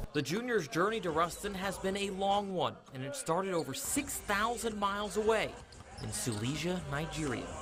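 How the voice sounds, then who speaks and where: A man with a high pitch talks at a moderate pace with lively intonation while music plays in the background. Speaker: sports reporter. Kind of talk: TV news sports package narration.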